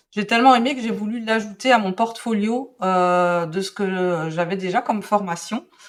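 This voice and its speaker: Speaking at a fairly slow pace, a woman has a medium pitch and ordinary pitch variation. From Belgium. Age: 40s. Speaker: calligraphy and drawing teacher. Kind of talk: interview. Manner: hesitant, many fillers.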